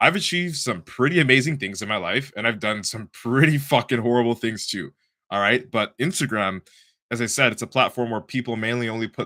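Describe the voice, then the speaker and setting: A man with a Toronto accent talks at a fairly quick pace in an animated, bright, sharp tone. His medium pitch carries lively intonation in a very clean recording with a silent background. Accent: Canadian English, Toronto. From Canada, Toronto. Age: 20s. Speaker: bodybuilder and podcast host. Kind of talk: casual monologue on a live stream.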